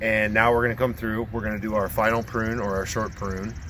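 Light background noise sits under a man's fairly low, fairly even voice, an unremarkable speaking voice, dry with no echo. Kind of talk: tutorial. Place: open country. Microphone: camera far.

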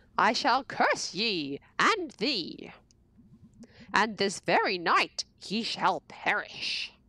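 Putting on a character voice, a woman cackles with a menacing tone at a medium pitch and a very slow pace. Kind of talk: pageant theatrics, archaic speech. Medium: game stream. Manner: cackling, menacing.

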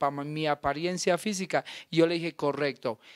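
An ordinary speaking voice with ordinary pitch variation comes through as dry, close sound with no echo. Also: man. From Colombia, Nariño. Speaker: actor. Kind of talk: interview.

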